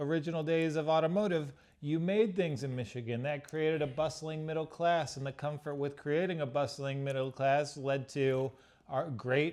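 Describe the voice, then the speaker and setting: With a normal speaking voice, a man talks at a moderate pace in a fairly high pitch with fairly even intonation. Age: 30s. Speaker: podcast guest. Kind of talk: casual interview.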